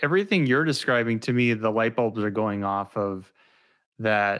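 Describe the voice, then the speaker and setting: This man has a plain, everyday voice. His pitch is medium, with ordinary pitch variation. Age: 40s. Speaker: podcast host. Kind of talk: interview, professional conversation. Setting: virtual studio, remote call.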